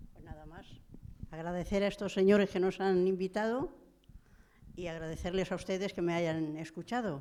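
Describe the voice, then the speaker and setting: A woman speaks at a medium pitch with a dark, mellow tone and fairly even intonation. Her loudness swings widely, and she leaves long, frequent pauses. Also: moderate pace. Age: 80s+. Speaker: relative of victims of Franco's repression. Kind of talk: panel discussion. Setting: stage with audience.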